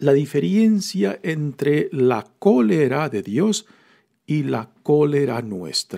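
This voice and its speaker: A man's dark, mellow, fairly high voice at a very slow pace, with very wide pitch swings. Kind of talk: homily-style scripture reflection. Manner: conversational, explanatory, with hesitations and fillers.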